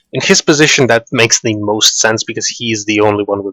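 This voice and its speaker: This man has an ordinary speaking voice and moves at a fairly quick pace. The sound is dry and close, with no echo. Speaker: tournament commentator. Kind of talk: live game tournament commentary.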